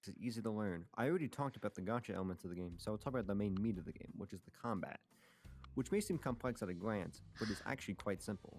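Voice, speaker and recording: Against music in the background, a man with a fairly low voice talks very fast with ordinary pitch variation. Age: young. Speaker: YouTuber. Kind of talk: scripted narration.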